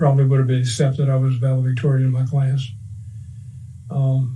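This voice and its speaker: A man at a medium pitch speaks with audible room echo around him. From US South, Cajun Louisiana (Breaux Bridge). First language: French. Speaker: war veteran. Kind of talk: oral history interview.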